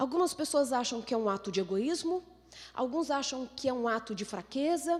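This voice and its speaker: Over noticeable background noise, a woman speaks at a high pitch in an animated tone with lively intonation. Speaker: neuroscientist giving a talk. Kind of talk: lecture. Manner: fast.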